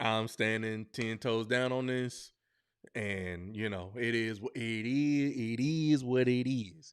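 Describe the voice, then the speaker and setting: Over a very clean recording with a silent background, a man speaks very slowly with fairly even intonation. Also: medium pitch for a man. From Buffalo, New York. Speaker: podcast host. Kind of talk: live stream podcast commentary. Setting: live stream. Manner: hesitant, many fillers.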